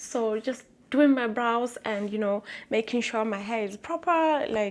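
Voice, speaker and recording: With a Lesotho accent, a woman talks at a fairly high pitch. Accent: Basotho (Lesotho) English. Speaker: vlogger. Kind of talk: personal vlog, testimony. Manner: loud and bold.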